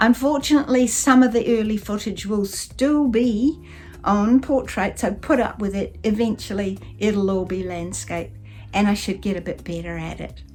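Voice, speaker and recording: A woman's medium-pitched, warm voice in a New Zealand accent, with ordinary pitch variation, a moderate pace and music in the background. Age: 70s. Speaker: van life vlogger. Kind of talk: casual vlog talk to camera. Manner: warm, chatty.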